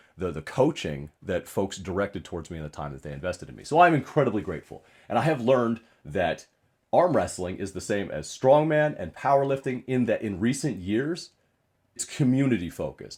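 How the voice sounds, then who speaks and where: A man talks fairly quickly with vocal fry, his pitch swinging very widely. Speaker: strongman and arm wrestling athlete. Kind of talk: casual talk to camera.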